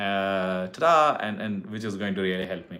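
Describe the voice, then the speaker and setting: A man speaks with a Tamil Indian accent at a fairly slow pace. His intonation is lively. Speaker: YouTuber giving hair transplant advice. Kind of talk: live stream chat with viewers. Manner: casual, halting with fillers.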